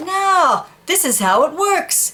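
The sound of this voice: Putting on a cartoonish character voice, a woman speaks slowly at an extremely high pitch, her bright, sharp tone marked by big pitch swings.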